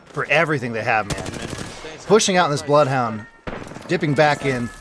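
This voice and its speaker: A man with a fairly high pitch speaks in an energetic tone. His pitch varies in an ordinary way against noticeable background noise. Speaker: esports shoutcaster / commentator. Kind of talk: live esports shoutcast commentary. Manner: energetic, fast-paced play-by-play.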